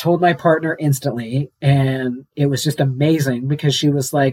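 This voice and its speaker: Somewhat breathy and fairly high-pitched, a man talks at a moderate pace with ordinary pitch variation. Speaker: transgender guest sharing personal story. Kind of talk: casual interview conversation.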